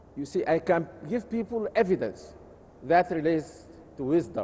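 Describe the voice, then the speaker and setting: Here a man talks at a moderate pace in a high pitch. His tone is dark and mellow, with lively intonation. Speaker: Islamic scholar. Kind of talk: lecture. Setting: conference session. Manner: measured, with frequent hesitations.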